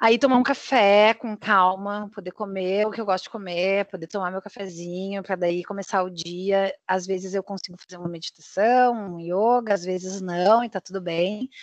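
In a plain, everyday voice, a woman speaks at a medium pitch and moderate pace with fairly even intonation, hardly any pauses and big swings in loudness, in a dry, close sound with no echo. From southern Brazil, Porto Alegre. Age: 30s. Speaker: podcast co-host. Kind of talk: casual chat.

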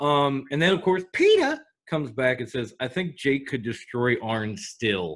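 A man with a normal speaking voice, fairly high-pitched, at a fairly slow pace with lively intonation. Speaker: podcast co-host.

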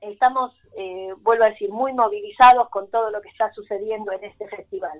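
A woman with a Rioplatense accent, fairly high pitch, fairly even intonation, a fairly quick pace and big swings in loudness. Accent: Argentine Rioplatense Spanish. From Buenos Aires, Argentina. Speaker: tango festival artistic director. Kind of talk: radio interview.

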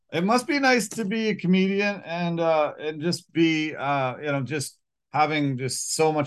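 An ordinary speaking voice: a man, fairly high in pitch, with lively intonation and a moderate pace. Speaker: podcast host. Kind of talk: casual interview.

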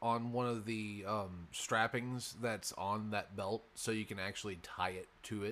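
Fairly even intonation in a natural reading voice

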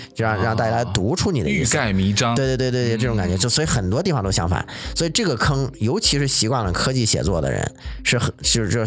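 Very fast speech with lively intonation and very even loudness, plus background music and audible room echo. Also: man. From China, Shandong. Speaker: data scientist turned novelist. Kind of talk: interview. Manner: halting, with frequent fillers and repetitions.

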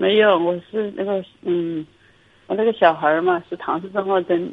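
A woman with a fairly low voice talks at a middling speed, her pitch moving in an ordinary way. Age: 40s. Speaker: caller, nurse. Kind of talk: call-in consultation. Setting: phone call. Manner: very quiet, hesitant. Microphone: phone held far away, too quiet.

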